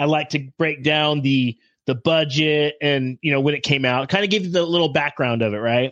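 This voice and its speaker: In a plain, everyday voice, a man speaks at a moderate pace with a fairly high pitch, ordinary pitch variation and very even loudness, in a dry, close sound with no echo. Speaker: guest takeover host. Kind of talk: casual chat, profane banter.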